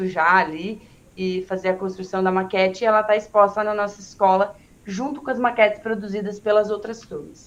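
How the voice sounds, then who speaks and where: A woman with an unremarkable speaking voice talks at a moderate pace, at medium pitch and with fairly even intonation. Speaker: schoolteacher. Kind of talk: presentation in online teacher training meeting.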